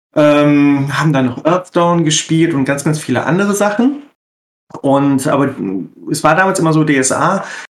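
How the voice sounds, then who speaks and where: A man with an unremarkable speaking voice, a fairly high pitch, ordinary pitch variation and a fairly slow pace. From Ruhr area, Germany. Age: 40s. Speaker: role-playing game editor. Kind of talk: casual chat.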